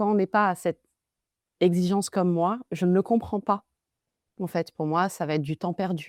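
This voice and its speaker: Recorded very cleanly against a silent background with a dry, close sound and no echo, a woman speaks at medium pitch and a fairly slow pace with fairly even intonation. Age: 30s. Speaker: marketing consultant. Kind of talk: interview conversation.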